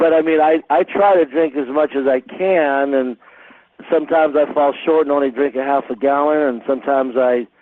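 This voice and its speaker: A fairly high-pitched male voice with fairly even intonation. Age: 60s. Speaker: call host interviewing a doctor. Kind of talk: conference call interview. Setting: phone conference call. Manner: halting, many fillers and repetitions.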